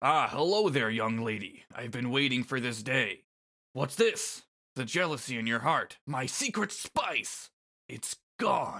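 Speaking in a put-on character voice, a man with a medium pitch talks at a fairly slow pace on a very clean recording with a silent background. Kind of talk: reading game dialogue aloud. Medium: read story. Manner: gloating, theatrical, savoring.

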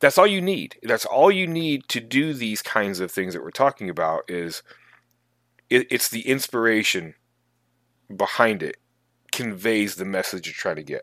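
A man at a medium pitch and moderate pace, with very wide pitch swings, big swings in loudness and long, frequent pauses, in a very clean, dry, close recording with no echo and a silent background. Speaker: tabletop gaming podcast co-host. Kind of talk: casual chat.

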